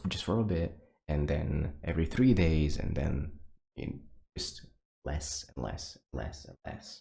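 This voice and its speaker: A man whispers quietly with vocal fry. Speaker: VTuber streamer. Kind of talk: casual monologue to viewers. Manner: whispering; quiet, low energy.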